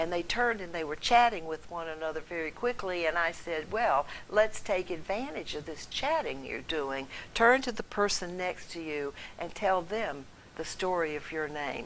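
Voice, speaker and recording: A woman with an American accent has an ordinary speaking voice, fairly low in pitch. She talks at a moderate pace with lively intonation. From North Carolina. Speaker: storyteller. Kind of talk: storytelling.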